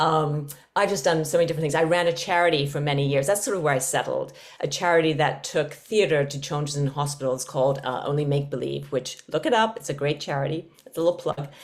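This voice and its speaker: With a slight English accent, a woman speaks very fast at a very deep, low pitch, her pitch varying in an ordinary way. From London, England. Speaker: podcast co-host, yoga teacher. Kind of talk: casual chat.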